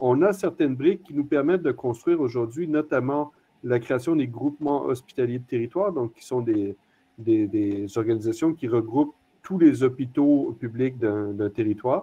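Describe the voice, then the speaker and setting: With a non-native accent, this voice shows big swings in loudness. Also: man, medium pitch for a man, ordinary pitch variation, moderate pace. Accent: non-French accent, noticeable. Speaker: hospital executive, panelist. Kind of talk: panel discussion. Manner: hesitant, many fillers.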